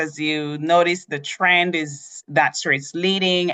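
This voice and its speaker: A woman speaks with a Jamaican accent at a very slow pace, her pitch fairly low and her tone bright and sharp. The sound is dry and close with no echo, against a quiet background. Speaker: cruise line sales representative. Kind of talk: tutorial.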